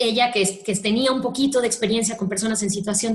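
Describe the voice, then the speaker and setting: Audible room echo hangs around speech whose pitch varies in an ordinary way. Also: woman. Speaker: speaker at a human rights training talk. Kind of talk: lecture. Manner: fast.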